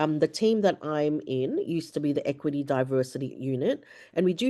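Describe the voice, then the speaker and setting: A woman's very deep, low voice with a dark, mellow tone and ordinary pitch variation, against a quiet background. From Filipino background. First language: Ilocano. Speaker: academic diversity and inclusion coordinator. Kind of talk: webinar presentation.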